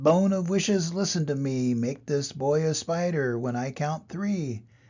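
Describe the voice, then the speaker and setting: A shrill, put-on character voice at a moderate pace. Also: man, fairly high pitch for a man. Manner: gleeful, commanding.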